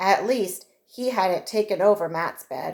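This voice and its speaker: A woman speaks in a put-on character voice that sounds raspy, at a medium pitch with ordinary pitch variation. Her pace is fairly slow. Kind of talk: children's story reading. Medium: read story. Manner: clear, measured.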